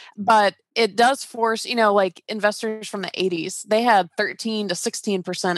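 A woman with an American accent speaks in a plain, everyday voice with ordinary pitch variation, the sound dry and close with no echo against a quiet background. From US South, Georgia (Atlanta). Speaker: real estate investor and coach. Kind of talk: casual interview.

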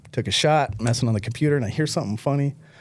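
A man with an American accent speaks with lively intonation. His voice is somewhat breathy. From Michigan. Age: 40s. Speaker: recovering addict, nonprofit founder. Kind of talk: testimony.

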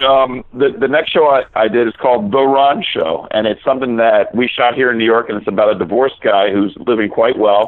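A man with an unremarkable speaking voice, medium pitch and lively intonation, talking at a fairly quick pace with hardly any pauses. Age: 40s. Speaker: actor and comedian. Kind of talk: casual interview chat.

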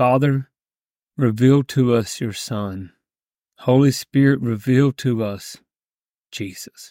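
In a dark, mellow yet intense tone, the voice moves at a very slow pace with fairly even intonation and long, frequent pauses, recorded very cleanly, dry and close with no echo, over a silent background. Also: man, medium pitch for a man. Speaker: pastor. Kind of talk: fervent prayer. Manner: fervent, earnest, intense.

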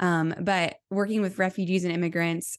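A woman at a moderate pace, fairly low in pitch, with fairly even intonation against a quiet background. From US Midwest, small-town northern Indiana. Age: 20s. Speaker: missionary and writer. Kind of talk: interview conversation.

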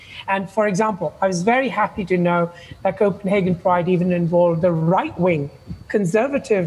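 High-pitched male speech at a moderate pace, with ordinary pitch variation, very even loudness and noticeable background noise. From India. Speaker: psychotherapist and diversity speaker. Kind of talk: presentation talk. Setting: video call.

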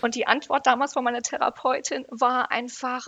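A woman's high-pitched voice. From Great Britain. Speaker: psychotherapy practitioner. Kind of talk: interview.

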